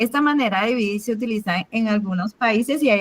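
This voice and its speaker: A woman's somewhat breathy, fairly high voice at a fairly quick pace, with ordinary pitch variation. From Cuba. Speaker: math teacher. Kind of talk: online class.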